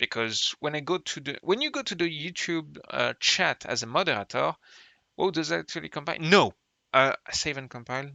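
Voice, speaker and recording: Speaking with a French accent at a fairly quick pace, the voice shows vocal fry and ordinary pitch variation. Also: man, fairly high pitch for a man. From France. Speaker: streamer. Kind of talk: live stream chat. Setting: live stream from home. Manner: halting.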